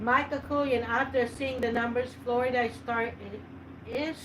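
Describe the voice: A woman with a fairly high pitch and fairly even intonation at a moderate pace, amid clear background noise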